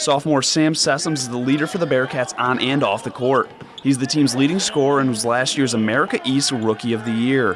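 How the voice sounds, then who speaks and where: Noticeable noise sits in the background. Over it, a man talks with ordinary pitch variation. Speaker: sports anchor and reporter. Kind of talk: TV sports feature narration (voiceover storytelling).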